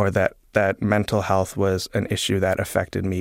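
Heard in a very clean recording with a silent background and a dry, close sound with no echo, a man with a fairly low pitch speaks at a moderate pace in a Canadian accent. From Canada, Toronto. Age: 20s. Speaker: writer and comedy person. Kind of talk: interview. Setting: studio. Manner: halting, many fillers.

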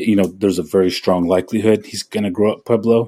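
A man talks at a fairly quick pace with an American accent. His tone is dark and mellow. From Oklahoma. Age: 40s. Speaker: novelist. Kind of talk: interview. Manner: halting, many fillers.

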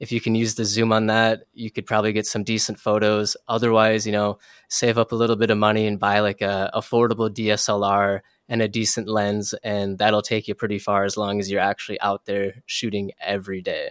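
With an American accent, a man talks at a fairly quick pace in a fairly low, monotone, flat voice with hardly any pauses, the sound dry and close with no echo. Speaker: wildlife photographer. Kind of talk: interview.

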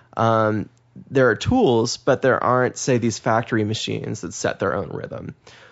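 Here is an unremarkable speaking voice from a man with an American accent. His pitch is medium, with ordinary variation. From Massachusetts. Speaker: author. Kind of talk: interview.

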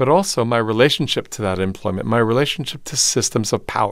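Lively intonation marks this man's unremarkable speaking voice at medium pitch. He moves at a fairly quick pace on a very clean recording with a silent background. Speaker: theater and voice professor. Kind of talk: interview. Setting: studio in Los Angeles.

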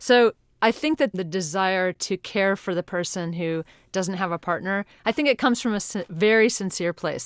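A woman with an American accent speaks in an unremarkable speaking voice at medium pitch, with ordinary pitch variation and a fairly quick pace. The recording is very clean, with a silent background and a dry, close sound that has no echo. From North Carolina. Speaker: advice columnist. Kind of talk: interview.

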